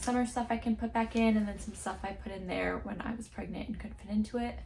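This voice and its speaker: Noticeable noise fills the background. Over it, a woman speaks in a whisper. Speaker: lifestyle vlogger. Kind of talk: casual vlog narration. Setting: at home. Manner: whispering.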